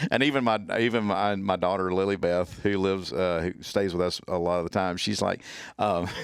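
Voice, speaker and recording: A man with a very deep, low voice and a strong Southern US accent, talking at a fairly quick pace. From US South, Mississippi (Natchez, Hattiesburg). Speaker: trauma medicine instructor and ER nurse. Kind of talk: casual podcast interview. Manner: animated, repeats words.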